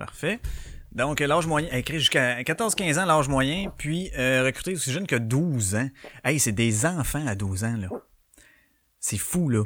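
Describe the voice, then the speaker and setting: A man with a Quebec accent talks at a fairly slow pace with lively intonation and long, frequent pauses, on a very clean recording with a silent background. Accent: Québécois French. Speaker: podcast host. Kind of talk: casual solo chat. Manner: animated, filler-heavy.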